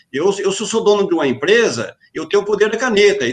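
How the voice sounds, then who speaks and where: This is a man speaking. His pitch is high. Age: 40s. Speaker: safety association president. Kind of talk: online panel discussion. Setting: video call live stream. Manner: halting, repeating words.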